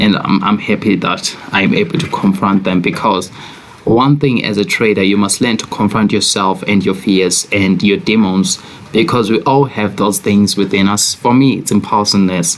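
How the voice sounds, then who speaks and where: A man speaks with a South African accent at a fairly low pitch and a moderate pace. His pitch varies in an ordinary way, his loudness stays very even, and there is noticeable background noise. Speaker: forex trader. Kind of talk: trading commentary video.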